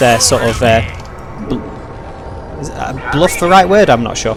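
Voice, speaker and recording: With a British accent, a man talks at a fairly slow pace with very wide pitch swings, over music in the background and audible room echo. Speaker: gaming video creator. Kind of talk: let's play commentary.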